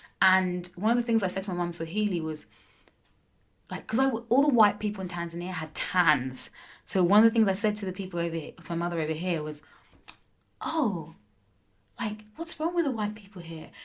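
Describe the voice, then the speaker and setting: Speaking with a London accent, a woman uses a medium pitch and lively intonation. Her pace is fairly quick, broken by long, frequent pauses. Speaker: entrepreneur, former pro tennis player. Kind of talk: casual interview. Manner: animated, lots of fillers.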